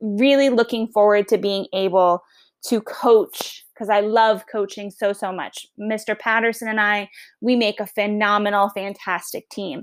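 In a Long Island accent, a woman speaks with an animated tone at a fairly slow pace on a very clean recording with a silent background. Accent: Long Island New York. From Long Island, New York. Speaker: teacher. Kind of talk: class podcast, casual explanation to students. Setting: home recording, dog nearby snoring. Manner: animated, chatty.

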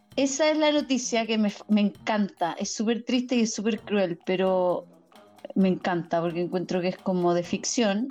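Over music in the background, a woman with a Chilean accent speaks at a moderate pace and medium pitch, her intonation lively and her loudness very even. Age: 30s. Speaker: podcast host. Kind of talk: casual chat.

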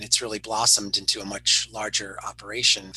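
Fairly quick speech in an American accent comes through over noticeable background noise. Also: man. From northern New Jersey. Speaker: nonprofit program director. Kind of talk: interview. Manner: halting, frequent fillers and repeats.

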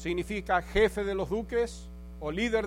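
A man talks at a very slow pace, with audible room echo around his voice. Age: 70s. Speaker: pastor. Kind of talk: sermon. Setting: church.

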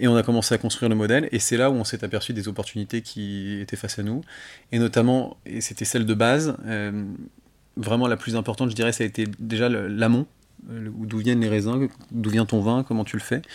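In a very clean recording with a silent background, a man of medium pitch speaks at a fairly quick pace with fairly even intonation. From northern Île-de-France area near Chantilly, France. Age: 30s. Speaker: champagne house co-founder. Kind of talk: casual interview. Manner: halting, frequent repetitions.

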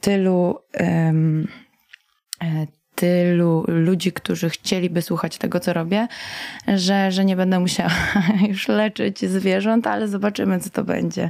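At a very slow pace, a woman speaks in a medium-pitched voice with ordinary pitch variation. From Poland, Warsaw and Masuria. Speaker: singer and veterinary student. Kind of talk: radio interview. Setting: radio studio.

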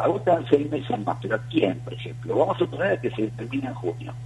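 A man with a Rioplatense accent at a very fast pace. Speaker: football coach and coaches' union activist. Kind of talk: radio interview.

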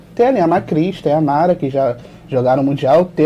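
A man uses a plain, everyday voice, fairly high in pitch, at a fairly quick pace with ordinary pitch variation. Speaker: volleyball YouTuber. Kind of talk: casual sports discussion.

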